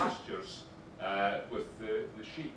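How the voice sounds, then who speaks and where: A man speaks with audible room echo. There is noticeable background noise. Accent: Scottish. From Scotland. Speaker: fashion brand presenter. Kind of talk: conference presentation.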